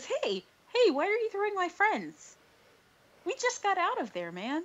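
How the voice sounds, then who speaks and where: This is a put-on character voice, pitched extremely high. It sounds squeaky. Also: moderate pace. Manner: sleepy, dopey.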